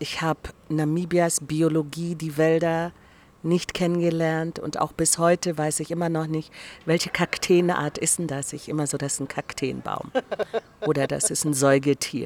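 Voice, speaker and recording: A woman's very deep, low pitch in a monotone, flat delivery. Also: moderate pace. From East Germany (GDR). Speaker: director of a democracy institute. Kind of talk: casual interview. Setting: restaurant garden.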